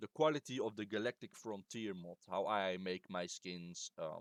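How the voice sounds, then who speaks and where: A man with a non-native accent at a fairly slow pace, ordinary pitch variation, and a dry, close sound with no echo. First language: not English. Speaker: game modder. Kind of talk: tutorial. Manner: halting; casual.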